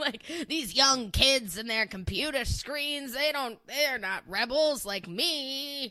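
A put-on character voice, high-pitched and at a very slow pace. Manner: mocking, exaggerated.

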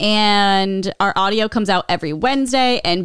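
In a very clean recording with a silent background, a woman with an American accent speaks at a medium pitch with lively intonation. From Nebraska, US Midwest. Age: 30s. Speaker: podcast co-host. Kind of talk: casual chat. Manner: laughs often.

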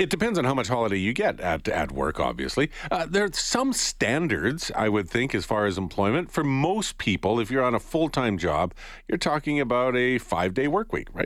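A man's medium-pitched voice with a Canadian accent, vocal fry and very wide pitch swings, at a fairly quick pace in a very clean recording with a silent background. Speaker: morning radio host. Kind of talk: radio interview. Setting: studio. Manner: casual, uses fillers.

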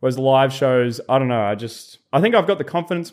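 With an Australian accent, a man talks at a very fast pace with lively intonation in a very clean recording over a silent background. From Australia, rural New South Wales-Victoria border. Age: 20s. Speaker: content creator. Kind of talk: casual chat.

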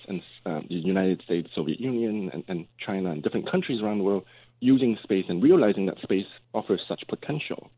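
Here is a man with an ordinary speaking voice, pitched fairly low. He moves at a fairly quick pace with lively intonation. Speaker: law professor, space law expert. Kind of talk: radio interview. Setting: phone call.

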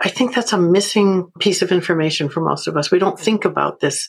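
A woman's normal speaking voice, fairly low in pitch, at a fairly quick pace with ordinary pitch variation. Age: 60s. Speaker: trauma therapist and author. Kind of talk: interview.

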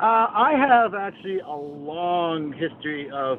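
A man speaks over noticeable background noise. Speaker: caller, former semi-pro athlete. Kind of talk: call-in question. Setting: phone call.

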